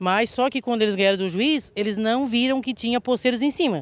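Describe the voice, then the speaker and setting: A woman speaks at a moderate pace with ordinary pitch movement. The sound is dry, with no echo. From southern Santa Catarina, Brazil. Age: 50s. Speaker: local resident. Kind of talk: interview testimony. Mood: indignant, worried. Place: open country. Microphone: handheld.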